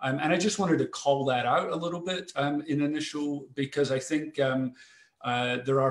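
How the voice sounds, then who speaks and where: Very clean, with a silent background, this recording features a man with a Scottish accent. He speaks at a fairly high pitch and moderate pace, with fairly even intonation. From Scotland, Glasgow. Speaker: foundation president and CEO. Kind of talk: panel discussion. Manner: halting, many fillers and repetitions.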